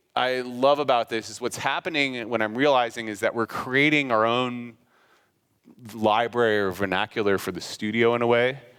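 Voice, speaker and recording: An ordinary speaking voice from a man at a medium pitch and moderate pace, on a very clean recording with a silent background. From US Midwest, Kansas City. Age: 30s. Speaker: graphic designer giving a talk. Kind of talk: conference talk. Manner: casual, filler-heavy.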